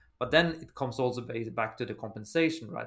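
This man talks in a Norwegian accent, his pitch moving in an ordinary way. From Norway. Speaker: recruitment agency founder. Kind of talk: interview. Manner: halting.

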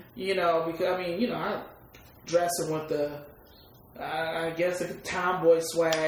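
A woman with a fairly low pitch speaks at a moderate pace in monotone, flat intonation. Her speech has long, frequent pauses over noticeable background noise. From Detroit East Side, US. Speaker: rapper. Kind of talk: casual interview. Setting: at her home.

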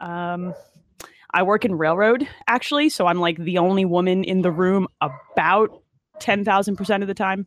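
At a moderate pace, a woman with an American accent speaks in a normal speaking voice at a medium pitch. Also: ordinary pitch variation. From New Jersey, Monmouth County. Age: 30s. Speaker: electrical engineer. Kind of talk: casual chat.

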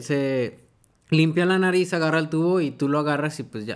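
On a very clean recording with a silent background, a man speaks at a moderate pace with fairly high pitch and fairly even intonation. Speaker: podcast co-host. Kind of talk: casual chat.

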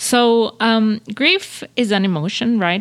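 A woman with a Spanish accent and ordinary pitch variation, in a very clean recording with a silent background. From Venezuela. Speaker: career coach podcast host. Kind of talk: personal monologue podcast. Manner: unscripted, with many fillers and repetitions.

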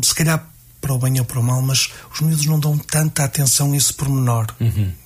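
A man's fairly high pitch and fairly even intonation amid noticeable background noise. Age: 40s. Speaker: music teacher and association president. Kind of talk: radio interview. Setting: radio studio. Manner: halting.

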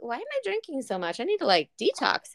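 The speaker talks at a fairly quick pace with a Southern US accent. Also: woman. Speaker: podcast co-host. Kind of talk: casual chat.

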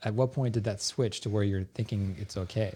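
A man's medium-pitched voice in a General American accent, an ordinary speaking voice, fairly quick, with ordinary pitch variation, on a very clean recording with a silent background. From Northern California. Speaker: podcast co-host. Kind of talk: casual chat.

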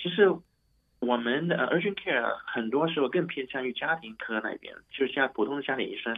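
At a moderate pace, a man with a medium pitch talks with lively intonation. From Hong Kong. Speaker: doctor. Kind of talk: interview. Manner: halting.

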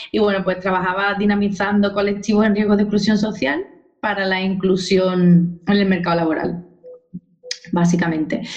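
The woman has an unremarkable speaking voice and keeps to a moderate pace. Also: medium pitch for a woman, fairly even intonation. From Spain, Cádiz (Andalusia). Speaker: dance teacher, former social worker. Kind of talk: interview.

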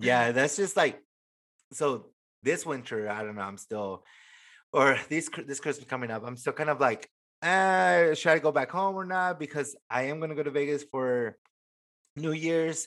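Fairly high man's voice with lively intonation, moderate pace and long, frequent pauses, on a very clean recording with a silent background. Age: 20s. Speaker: podcast host. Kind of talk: casual chat; reading aloud.

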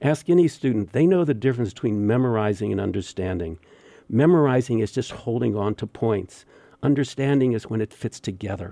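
A man with an unremarkable speaking voice talks at a moderate pace using lively intonation. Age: 60s. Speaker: meditation teacher. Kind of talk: interview.

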